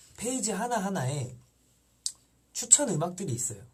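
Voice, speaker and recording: A soft-spoken man is talking. His pitch swings very widely. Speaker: idol singer hosting fan livestream. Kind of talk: live stream chat with fans. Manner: calm, soft-spoken; halting with fillers.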